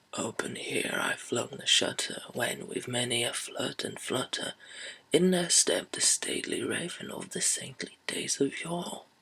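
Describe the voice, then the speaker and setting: In a put-on character voice, a man whispers breathily at a moderate pace. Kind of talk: whispered poetry reading. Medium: read story. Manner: slow, hushed.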